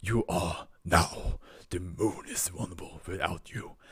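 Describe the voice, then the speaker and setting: A put-on character voice from a man, growling and very deep and low in pitch, at a fairly slow pace. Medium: read story. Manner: proud.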